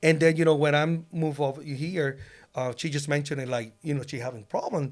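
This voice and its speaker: With a Puerto Rican accent, a man talks at a very fast pace. His intonation stays fairly even. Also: fairly high pitch for a man. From Puerto Rico. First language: Spanish. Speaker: loan officer, former police officer. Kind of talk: casual interview. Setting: podcast studio. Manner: halting, many fillers.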